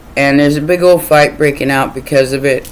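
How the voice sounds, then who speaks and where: Delivered at a fairly quick pace, the speech competes with noticeable background noise. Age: 50s. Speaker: tarot reader. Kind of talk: casual monologue. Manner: rambling, repeats words.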